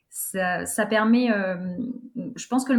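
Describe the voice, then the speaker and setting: Somewhat breathy, the woman's voice is fairly high in pitch. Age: 20s. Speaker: stadium announcer and master of ceremonies. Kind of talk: casual interview. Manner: halting, repeats words.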